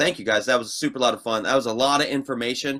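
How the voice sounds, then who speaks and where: Speaking very fast in a Midwestern accent, a man has a bright, sharp tone on a very clean recording with a silent background. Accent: Midwestern, getting stronger. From Ohio, US Midwest. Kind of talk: casual interview chat. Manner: animated.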